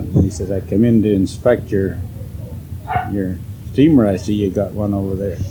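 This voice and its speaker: Through noticeable background noise, a man speaks with a fairly low pitch and fairly even intonation. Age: 80s+. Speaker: farmer. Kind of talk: interview answer. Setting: home.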